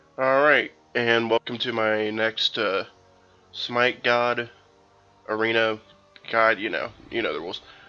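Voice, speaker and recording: A man speaks at a fairly slow pace in a monotone, flat intonation, with long, frequent pauses. Music plays in the background. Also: medium pitch for a man. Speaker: gaming video creator. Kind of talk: game tutorial. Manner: hesitant with many fillers.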